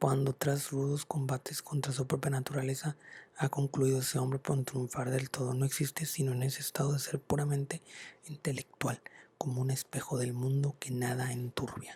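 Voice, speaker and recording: A man speaks at a medium pitch in a monotone, flat intonation. The sound is dry and close with no echo. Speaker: ASMR content creator. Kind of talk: whispered ASMR book reading. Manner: soft-spoken, whispering, slow.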